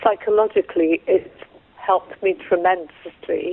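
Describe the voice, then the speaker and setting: Fairly even intonation accompanies a fairly slow pace. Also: woman. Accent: English. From England. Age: 60s. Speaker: patient sharing experience. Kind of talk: interview testimony. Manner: halting.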